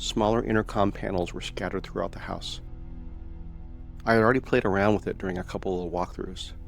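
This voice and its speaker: A man speaks with long, frequent pauses while music plays in the background. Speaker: paranormal story narrator. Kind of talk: first-person retelling of another man's story.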